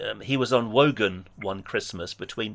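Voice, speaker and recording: With an English accent, a man at a medium pitch speaks at a very slow pace in a quiet background. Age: 60s. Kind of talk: debate phone conversation; personal testimony.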